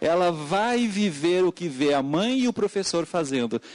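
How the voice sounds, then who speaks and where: A man with a Portuguese accent speaks fairly slowly in a high voice with very wide pitch swings. The sound is dry and close with no echo, over a quiet background. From Portugal. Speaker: education speaker at a hearing. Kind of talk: public hearing testimony. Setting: legislative hearing room with wireless mic. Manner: halting, with frequent fillers.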